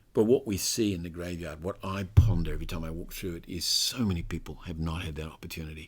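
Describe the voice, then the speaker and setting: In a very clean recording with a silent background, a man with a very deep, low pitch speaks at a very fast pace with hardly any pauses, fairly even intonation, big swings in loudness and a somewhat breathy sound. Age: 60s. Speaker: author and cancer survivor. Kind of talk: interview. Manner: halting.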